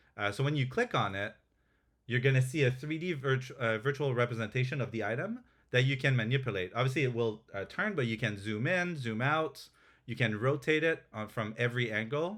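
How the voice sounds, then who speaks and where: In a very clean recording with a silent background, a man with a French accent speaks at medium pitch and a fairly quick pace, with ordinary pitch variation. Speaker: game developer presenting updates. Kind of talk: live stream product demo. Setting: live Twitch stream. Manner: hesitant, many fillers and restarts.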